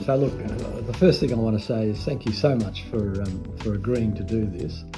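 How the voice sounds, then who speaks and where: A fairly low-pitched man at a moderate pace with ordinary pitch variation, music in the background. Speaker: interviewer. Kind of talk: interview questions.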